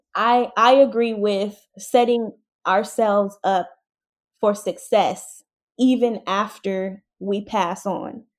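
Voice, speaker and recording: On a very clean recording with a silent background, a woman with an American accent speaks at a medium pitch and a very slow pace with fairly even intonation. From San Diego, California. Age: 20s. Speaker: content creator. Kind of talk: interview.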